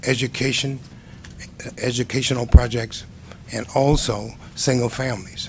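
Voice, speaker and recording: Speaking at a fairly slow pace, a man with an American accent and a medium pitch comes through over noticeable background noise. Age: 70s. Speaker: construction cost estimator testifying as witness. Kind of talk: testimony at board hearing. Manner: halting, many fillers.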